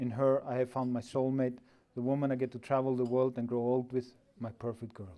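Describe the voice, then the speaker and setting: Music plays in the background. A man speaks at a moderate pace with a medium pitch. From Iceland. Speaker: groom. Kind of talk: wedding speech. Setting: wedding reception.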